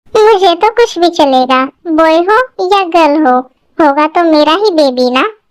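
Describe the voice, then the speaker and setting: A woman performs a put-on character voice at an extremely high pitch. Her intonation is lively, and her pace is moderate. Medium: audio drama. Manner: affectionate, playful.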